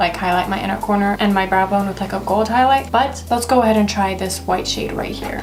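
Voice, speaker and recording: Music can be heard behind the speaker. She is a woman talking at a fairly quick pace. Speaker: beauty YouTuber. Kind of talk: makeup tutorial. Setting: at home in her room. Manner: quiet, low-energy.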